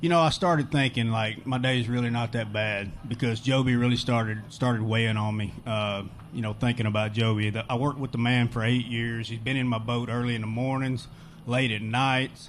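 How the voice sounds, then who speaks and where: Someone with a normal speaking voice and an American accent talks at a fairly quick pace with fairly even intonation. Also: man, medium pitch for a man. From Texas. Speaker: pro bass angler. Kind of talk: post-event interview.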